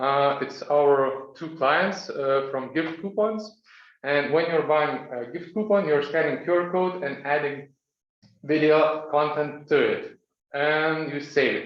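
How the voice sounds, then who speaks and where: Fairly slow, fairly high-pitched speech from a man, with audible room echo. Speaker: startup founder pitching. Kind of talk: pitch presentation. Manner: clear.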